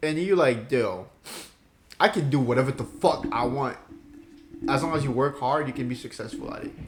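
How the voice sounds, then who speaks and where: Speaking at a moderate pace with long, frequent pauses, a man with a fairly high pitch and ordinary pitch variation comes through over noticeable background noise. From Ivory Coast. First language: French. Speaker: podcast co-host. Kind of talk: casual chat.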